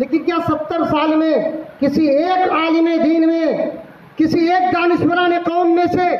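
A man talks at a very slow pace in an extremely high pitch, monotone and flat, with very even loudness. Audible room echo and light background noise surround him. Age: 50s. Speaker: cleric and party leader. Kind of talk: political speech. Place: hall. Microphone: podium.

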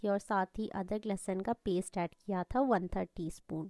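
The sound is dry and close with no echo, carrying a dark, mellow tone and ordinary pitch variation. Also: woman. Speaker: cooking vlogger. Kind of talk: cooking tutorial vlog narration.

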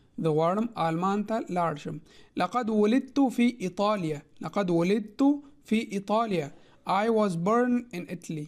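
The speaker has a Pashto accent and a fairly slow pace. The recording is very clean, with a silent background. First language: Pashto (speaking Arabic). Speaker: language teacher. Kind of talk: tutorial. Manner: slow, repetitive.

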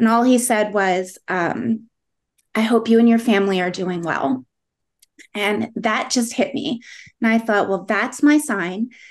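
A woman's ordinary speaking voice at a fairly high pitch and fairly slow pace, with ordinary pitch variation over a quiet background. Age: middle-aged. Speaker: part-time insurance agent and teacher. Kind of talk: interview. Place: home room. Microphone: video call.

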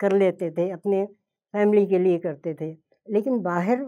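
Against a quiet background, a woman speaks at a very slow pace in a dark, mellow tone. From Hyderabad, India; later Bombay and Lucknow. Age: 80s+. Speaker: home cook and cooking video creator; cooking video creator. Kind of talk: motivational talk. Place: studio.

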